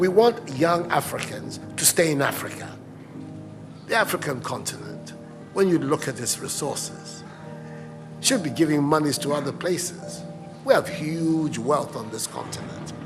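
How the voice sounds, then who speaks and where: Music plays in the background as a man speaks at a moderate pace with long, frequent pauses. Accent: Ghanaian. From Ghana. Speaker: head of state. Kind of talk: public speech answering a question. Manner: soothing.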